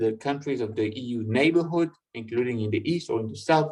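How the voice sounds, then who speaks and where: With audible room echo, a man at medium pitch talks at a moderate pace with ordinary pitch variation. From France. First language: French. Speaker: European party representative, speaker. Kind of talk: online public lecture. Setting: online video conference. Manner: halting, many fillers and repetitions.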